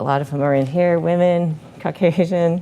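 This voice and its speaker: The speaker is a woman. Her pitch moves with ordinary variation. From Illinois, US Midwest. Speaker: orthopedic hand surgeon. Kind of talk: medical lecture. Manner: fast.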